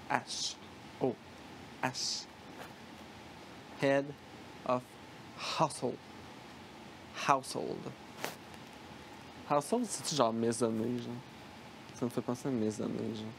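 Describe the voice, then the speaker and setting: With noticeable background noise behind him, a man speaks at a very slow pace, with long, frequent pauses and big swings in loudness. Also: medium pitch for a man, fairly even intonation. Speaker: reality-show commentator. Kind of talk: casual chat.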